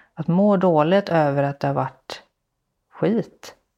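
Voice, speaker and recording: A woman's fairly low, dark, mellow voice at a fairly slow pace, with fairly even intonation, over a quiet background. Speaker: podcast host, social entrepreneur. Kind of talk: interview. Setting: home visit, on location. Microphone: echo in the room.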